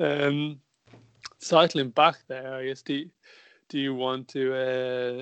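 Fairly even intonation and a medium pitch from a man with an unremarkable speaking voice. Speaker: podcast host. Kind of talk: casual chat. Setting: video call.

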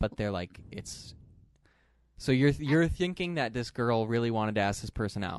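A plain, everyday voice from a man at a medium pitch, with lively intonation and a moderate pace. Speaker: podcast host. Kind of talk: casual banter between co-hosts. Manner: joking, playful.

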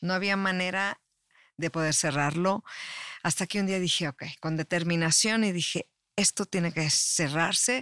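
Speaking at a moderate pace with a Mexican accent, a woman keeps her loudness very even in a dry, close sound with no echo. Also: very clean recording, silent background. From Mexico. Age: 50s. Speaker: life coach and public relations expert. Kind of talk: casual interview chat.

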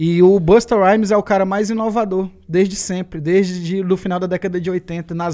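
His pitch is high for a man. He speaks in a monotone, flat intonation. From Ceará, Brazil. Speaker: rapper. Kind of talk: casual chat. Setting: studio.

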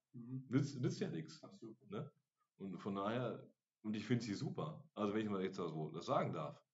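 A somewhat breathy man's voice at a medium pitch, moving at a moderate pace with very wide pitch swings. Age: 40s. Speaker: podcast host at a social day center. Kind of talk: casual chat.

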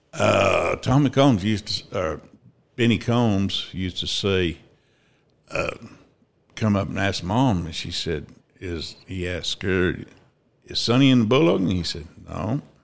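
A man with an American accent talks at a fairly slow pace and fairly low pitch, with ordinary pitch variation and long, frequent pauses. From southeast Kansas. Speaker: rodeo steer roper. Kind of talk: interview, storytelling.

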